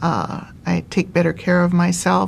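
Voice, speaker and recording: A woman speaks at a fairly slow pace in a fairly low, somewhat breathy voice with monotone, flat intonation. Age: 70s. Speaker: cancer survivor. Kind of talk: testimony. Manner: halting.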